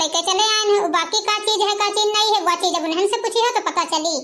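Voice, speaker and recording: A woman puts on a cartoonish character voice at an extremely high pitch, racing at a very fast pace with fairly even intonation. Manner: defensive, pleading.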